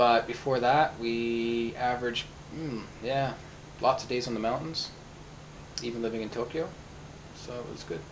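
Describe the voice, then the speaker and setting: A man with a western Canadian accent speaks at a medium pitch and a moderate pace, his intonation fairly even, with long, frequent pauses. Audible room echo and noticeable background noise fill the recording. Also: big swings in loudness. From Canada, Vancouver. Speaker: teacher. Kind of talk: casual interview. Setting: at home, in-person recording.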